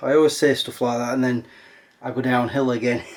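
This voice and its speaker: A man speaks with an English accent. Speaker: vlogger. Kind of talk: casual vlog talk. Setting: outdoors walking dog.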